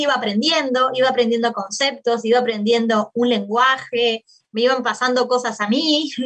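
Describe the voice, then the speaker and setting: Her voice is high-pitched, with a bright, sharp tone. The woman speaks in a Uruguayan accent. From Uruguay, Maldonado. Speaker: political science professor and researcher. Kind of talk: interview about her book. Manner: hesitant with fillers.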